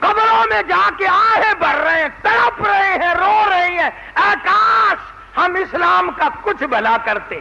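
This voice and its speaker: Extremely high for a man, the voice swings very widely in pitch while its loudness stays very even, with noticeable background noise behind it. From Pakistan. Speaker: Islamic preacher. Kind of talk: religious sermon. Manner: soothing.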